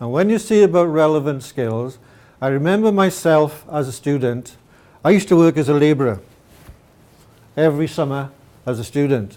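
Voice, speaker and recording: A man with a Welsh accent and a fairly high pitch in a dark, mellow tone, with lively intonation, a moderate pace and long, frequent pauses. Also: very clean recording, silent background. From Wales. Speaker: mathematics teacher. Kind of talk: presentation.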